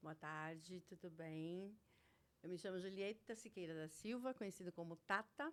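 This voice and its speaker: A woman's plain, everyday voice, a plain, everyday voice at medium pitch. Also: ordinary pitch variation, moderate pace. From Brazil, Santo André (São Paulo area). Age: 60s. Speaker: retail worker, former shop owner. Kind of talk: casual interview, life story.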